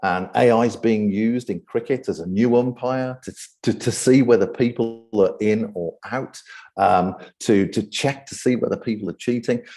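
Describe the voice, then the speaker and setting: A man with a British accent speaks at a moderate pace in a medium pitch with ordinary pitch variation and a dark, mellow tone over a quiet background. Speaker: AI ethics speaker and event host. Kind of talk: presentation talk. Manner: frequent fillers and repetitions.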